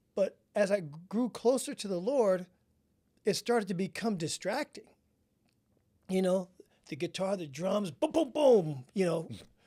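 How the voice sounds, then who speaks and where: Using a dark, mellow tone, a man with a high pitch speaks at a fairly slow pace with lively intonation and long, frequent pauses. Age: 60s. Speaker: podcast host. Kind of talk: interview. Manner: casual, conversational.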